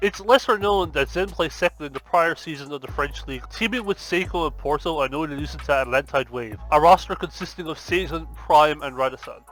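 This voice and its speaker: With a strong Irish accent, a man talks at a fairly quick pace, hardly pausing at all. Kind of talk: esports video essay narration. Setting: headset mic.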